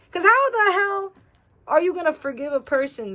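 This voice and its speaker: A woman at a moderate pace. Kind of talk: casual venting talk to camera.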